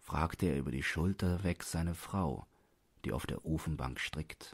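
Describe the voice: A man speaks at an extremely low pitch with a slightly husky edge and ordinary pitch variation. His pace is fairly slow, in a very clean recording with a silent background.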